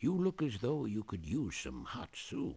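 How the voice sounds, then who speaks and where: A man performs a put-on character voice full of very wide pitch swings. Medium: video game.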